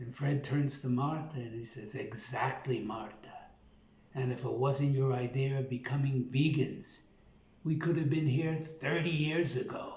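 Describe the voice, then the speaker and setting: A somewhat breathy man talks fairly slowly in a Brooklyn accent, with fairly even intonation. Audible room echo surrounds his voice. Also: medium pitch for a man. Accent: Brooklyn New York. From New York, Brooklyn. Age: 70s. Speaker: plant-based nutrition YouTuber. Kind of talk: casual monologue, joke telling then personal story. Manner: casual, many filler words.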